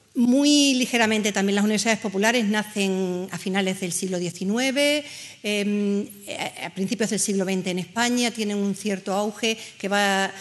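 A woman with a normal speaking voice talks at a fairly slow pace, her medium pitch showing ordinary pitch variation. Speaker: adult education organizer. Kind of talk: panel presentation. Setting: stage with audience. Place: hall.

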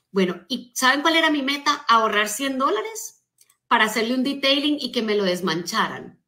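Against a quiet background, a woman speaks with a high pitch, a bright, sharp, animated tone and lively intonation. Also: moderate pace. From Colombia. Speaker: motivational speaker and business coach; motivational speaker, business coach. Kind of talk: motivational talk on a live stream. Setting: social media live stream. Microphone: phone near.

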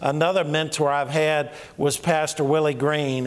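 The man keeps a moderate pace. His delivery is monotone, with flat intonation. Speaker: pastor. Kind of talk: sermon. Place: church. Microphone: handheld.

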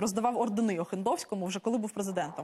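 A woman talks at a very fast pace in a somewhat breathy voice with ordinary pitch variation and light background noise. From Ukraine. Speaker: member of parliament; politician guest. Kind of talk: heated debate. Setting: studio. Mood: critical, argumentative. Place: studio. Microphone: lapel.

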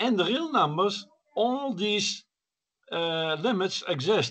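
A man talks at a high pitch in a bright, sharp tone. His intonation is lively. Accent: Dutch. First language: Dutch. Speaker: science discussion participant. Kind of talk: group discussion. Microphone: video call.

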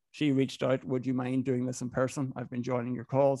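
With a Donegal accent, a man talks at a fairly quick pace in a dark, mellow tone and a monotone, flat intonation, the sound dry with no echo against a quiet background. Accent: Donegal Irish accent, sounds Northern Irish. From Ireland, Inishowen, Donegal. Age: 30s. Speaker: business owner, club founder. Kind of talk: podcast interview. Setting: video call. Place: home room. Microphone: studio mic.

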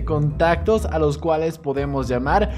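Clear background music behind a man talking at a moderate pace. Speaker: gaming youtuber. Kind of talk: gameplay commentary.

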